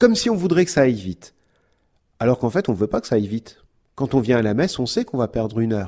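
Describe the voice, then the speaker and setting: Delivered at a very fast pace with long, frequent pauses, the dark, mellow voice sits on a very clean recording with a silent background. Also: man, medium pitch for a man, lively intonation, big swings in loudness. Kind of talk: podcast talk on prayer.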